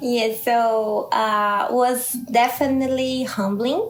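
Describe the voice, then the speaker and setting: A woman with a Brazilian Portuguese accent speaks at a fairly high pitch with ordinary variation. There is noticeable background noise and audible room echo. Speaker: scientist and startup founder. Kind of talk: interview. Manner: halting, searching for words.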